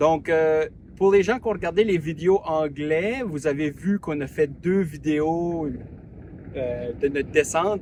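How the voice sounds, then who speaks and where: Over noticeable background noise, a man speaks at a very slow pace. His pitch is fairly high, with ordinary variation. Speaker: travel vlogger. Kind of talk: casual vlog narration. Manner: hesitant, many fillers.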